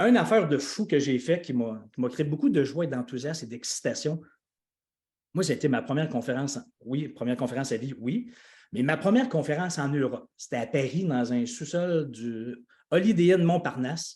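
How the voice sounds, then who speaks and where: Over a quiet background, a man with a Quebec accent talks in an animated tone at a moderate pace, his fairly high pitch carried by lively intonation and a somewhat breathy quality. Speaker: life coach and speaker. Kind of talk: live video call announcement.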